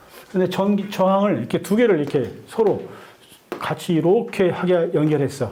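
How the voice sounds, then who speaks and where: Audible room echo surrounds a man's voice. He keeps a moderate pace. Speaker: lecturer, online community leader. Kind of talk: lecture.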